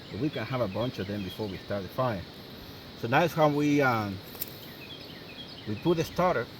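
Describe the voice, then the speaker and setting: A man with a non-native accent speaks at a medium pitch and a moderate pace, with lively intonation and long, frequent pauses. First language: not English. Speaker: outdoor survival video maker. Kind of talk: tutorial. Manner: halting, many fillers.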